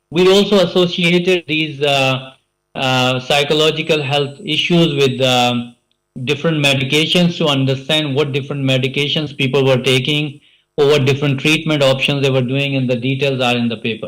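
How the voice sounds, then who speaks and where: A man's voice, fairly high in pitch, with fairly even intonation. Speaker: conference speaker, healthcare researcher. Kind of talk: conference presentation. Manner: fast; hesitant, many fillers.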